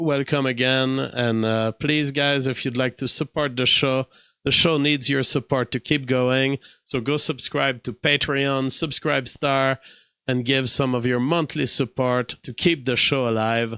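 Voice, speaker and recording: Speaking at a fairly slow pace, a man with a medium-pitched, bright, sharp voice keeps a monotone, flat intonation, and the sound is dry and close with no echo. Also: very clean recording, silent background. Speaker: political commentary show host. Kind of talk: live-stream political commentary monologue. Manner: hesitant, many fillers and restarts.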